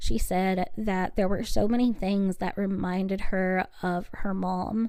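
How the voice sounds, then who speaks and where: Soft-spoken and fairly slow, a woman talks in a dark, mellow tone with fairly even intonation. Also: medium pitch for a woman. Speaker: true crime podcast host. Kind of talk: solo podcast narration of trial coverage.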